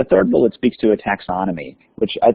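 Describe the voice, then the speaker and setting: A man's voice at medium pitch, fairly quick in pace, with ordinary pitch variation. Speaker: school district leader. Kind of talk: webinar presentation. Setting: webinar. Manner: fast.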